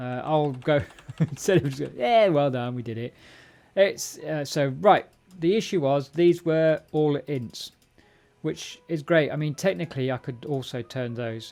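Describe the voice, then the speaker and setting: Over music in the background, a man with an English accent speaks at a fairly slow pace with ordinary pitch variation. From England. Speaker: programming live streamer. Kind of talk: live coding stream. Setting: live stream with chat. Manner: casual, halting with fillers.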